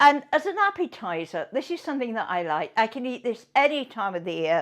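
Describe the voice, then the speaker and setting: Here is a woman in a British accent with a fairly high pitch. Her pitch swings very widely. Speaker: cooking show host. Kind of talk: live cooking show. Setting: home kitchen. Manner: chatty, halting.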